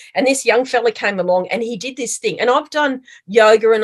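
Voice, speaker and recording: Against a quiet background, a woman with an Australian accent speaks at a fairly high pitch with ordinary pitch variation. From Australia (Melbourne, Victoria). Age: 60s. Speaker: mindfulness practitioner and small business owner. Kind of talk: podcast interview. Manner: chatty.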